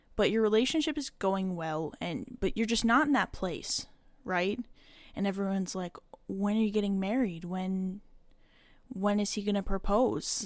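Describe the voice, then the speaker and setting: In a very clean recording with a silent background, a woman speaks at medium pitch and a fairly slow pace with ordinary pitch variation. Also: long, frequent pauses. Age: 20s. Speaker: solo podcast host. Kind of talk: casual personal monologue. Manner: casual, with filler words and laughs.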